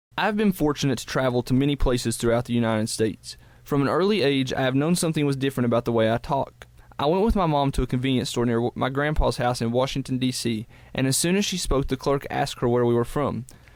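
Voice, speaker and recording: A man talks very fast in an Appalachian accent. His pitch sits in the medium range. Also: ordinary pitch variation. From Southwest Virginia, Appalachia. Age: 20s. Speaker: college student. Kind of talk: scripted narration.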